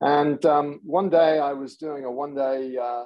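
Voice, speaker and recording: His pitch shows ordinary variation. The man talks with an English accent. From England. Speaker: technology executive. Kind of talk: podcast interview.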